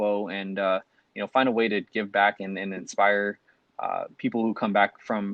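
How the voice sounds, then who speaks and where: Speaking at a fairly quick pace, a man with a fairly low pitch talks in a Californian accent. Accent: Californian American. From Long Beach, California. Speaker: physician assistant student, podcast co-host. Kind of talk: casual podcast chat.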